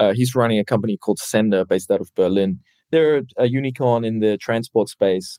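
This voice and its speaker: In a dry, close sound with no echo, a man speaks at a fairly quick pace with a dark, mellow tone, a medium pitch and ordinary pitch variation. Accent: New Zealand. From New Zealand. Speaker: startup founder and CEO. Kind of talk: interview.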